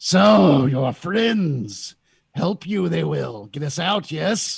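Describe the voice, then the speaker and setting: A man puts on a guttural character voice with very wide pitch swings. He speaks very slowly. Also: fairly high pitch for a man. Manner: menacing, pleading.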